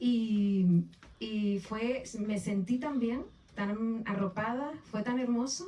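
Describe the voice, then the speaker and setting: A woman's fairly high voice in a Canarian accent, very slow in pace, with ordinary pitch variation. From Canary Islands (Las Palmas de Gran Canaria). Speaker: author. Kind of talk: book presentation interview. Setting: bookshop event with audience. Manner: hesitant, with fillers and repetitions.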